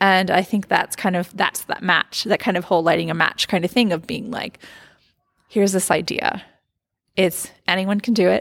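The speaker has an American accent and vocal fry. Intonation stays fairly even, in a dry, close sound with no echo. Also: woman, medium pitch for a woman, moderate pace. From United States. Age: 40s. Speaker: craft activist and writer. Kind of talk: interview.

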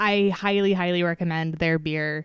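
In a very clean recording with a silent background, a woman with an unremarkable speaking voice talks at a moderate pace in a fairly low pitch with ordinary pitch variation. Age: 20s. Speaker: podcast host and beer educator. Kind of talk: casual chat.

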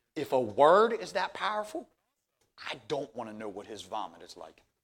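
A man's raised, projected voice. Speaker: pastor. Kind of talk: sermon. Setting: church. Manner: halting, frequent repetitions.

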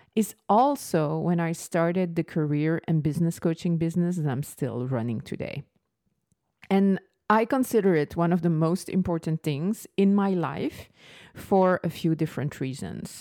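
On a very clean recording with a silent background, a woman talks at a moderate pace in a fairly low pitch with ordinary pitch variation. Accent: slight French. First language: French. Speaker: business coach. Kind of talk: solo podcast monologue.

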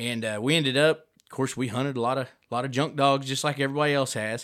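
A man with a plain, everyday voice and an American accent, fairly even intonation, very clean recording with a silent background. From southwest Missouri (Neosho). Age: 30s. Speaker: coonhound breeder and musician. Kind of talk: casual chat.

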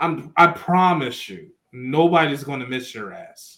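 With an American accent, a man talks using lively intonation. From Philadelphia. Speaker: sports podcast co-host. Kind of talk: casual chat.

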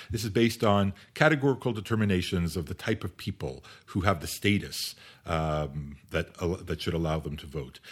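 In a very clean recording with a silent background, a man with a very deep, low voice speaks at a moderate pace with lively intonation. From Canada. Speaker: law and philosophy professor. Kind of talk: interview. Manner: hesitant with many fillers.

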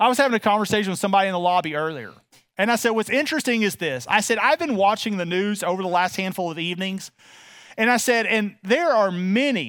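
Speaking at a very fast pace, a man with a Texas accent has a high pitch and a warm tone, captured on a very clean recording with a silent background. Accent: Texas Southern US. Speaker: pastor. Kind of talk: sermon. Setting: church. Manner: informal, warm, many filler words.

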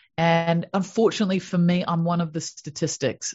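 In a New Zealand accent, a woman talks at a moderate pace. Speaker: happiness coach. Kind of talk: interview. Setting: video call.

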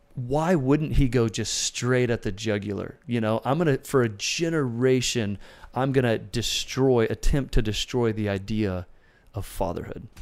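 A man talks in a plain, everyday voice at medium pitch and a moderate pace, with ordinary pitch variation. The recording is very clean and the background silent. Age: 30s. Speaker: pastor and singer-songwriter. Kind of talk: casual chat. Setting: studio.

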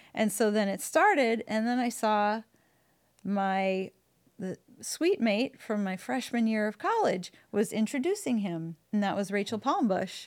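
A woman speaks in an unremarkable speaking voice with an American accent. Her fairly high pitch comes at a fairly slow pace. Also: ordinary pitch variation. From Wisconsin, suburb of Milwaukee. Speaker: churchgoer sharing her story. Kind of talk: interview testimony. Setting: church building recording.

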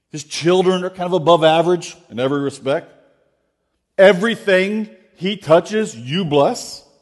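At a moderate pace, a man speaks with a high pitch, ordinary pitch variation and big swings in loudness. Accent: American. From Florida. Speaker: guest preacher. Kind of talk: sermon. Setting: church. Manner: halting.

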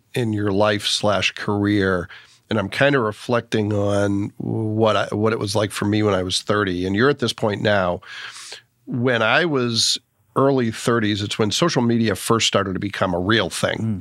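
Heard on a very clean recording with a silent background, a man uses an ordinary speaking voice at a fairly low pitch, with ordinary pitch variation, a moderate pace and very even loudness. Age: 50s. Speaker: podcast host. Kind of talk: casual interview.

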